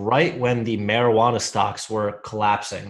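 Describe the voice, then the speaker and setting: The background stays quiet. Against it, a man speaks at a fairly slow pace. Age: 20s. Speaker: stock trader. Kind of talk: casual chat. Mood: relaxed, casual, swearing. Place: home room.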